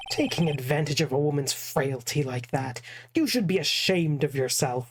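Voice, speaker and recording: The speaker uses a put-on character voice. Its pitch sits in the low-to-middle range. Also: moderate pace. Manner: prim, put-on.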